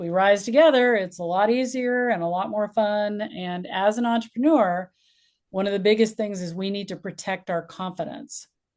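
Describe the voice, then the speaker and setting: With a normal speaking voice, a woman talks at a moderate pace, medium in pitch and with ordinary pitch variation. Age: 60s. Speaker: community leader and interviewer. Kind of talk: casual interview chat.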